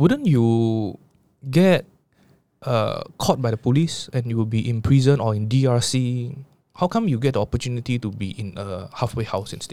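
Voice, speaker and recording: A man with a Singaporean accent, medium pitch and a moderate pace. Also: ordinary pitch variation, very clean recording, silent background. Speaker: podcast host. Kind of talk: interview.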